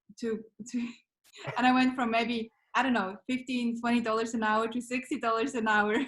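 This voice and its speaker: A woman with a Swiss accent talks at a fairly quick pace in a fairly high, flat monotone, leaving long, frequent pauses. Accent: Swiss accent, noticeable. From Switzerland. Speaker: business founder, marketing mentor. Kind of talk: podcast interview.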